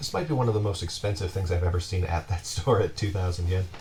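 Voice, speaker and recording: Music plays in the background. A man speaks with a very deep, low pitch. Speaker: collector. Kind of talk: casual talk to camera. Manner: hesitant, many fillers.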